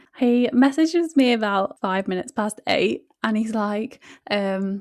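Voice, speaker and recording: This is a woman with an unremarkable speaking voice. Her pitch is fairly high, with ordinary variation. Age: 20s. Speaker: podcast co-host, law professional. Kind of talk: casual chat.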